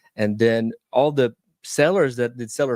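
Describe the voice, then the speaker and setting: Recorded very cleanly against a silent background, this voice with a Southern US accent shows ordinary pitch variation and a dry, close sound with no echo. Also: man. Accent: Southern American. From US South. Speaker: real estate investor. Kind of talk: interview. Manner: halting.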